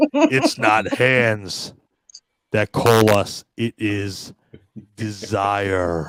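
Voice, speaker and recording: In a put-on character voice, a man speaks very slowly at a fairly low pitch, with long, frequent pauses. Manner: menacing.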